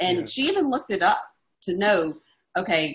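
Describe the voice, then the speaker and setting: A woman's unremarkable speaking voice, with lively intonation and a moderate pace. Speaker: caregiver. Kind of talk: interview answer.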